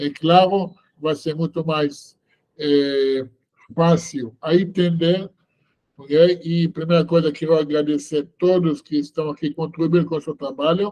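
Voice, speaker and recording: This man's voice sits at a fairly high pitch with a dark, mellow tone, moving at a fairly slow pace in a monotone, flat intonation. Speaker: rabbi teaching online seminar. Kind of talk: online lecture. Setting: video call webinar. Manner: slow, deliberate; hesitant with many fillers.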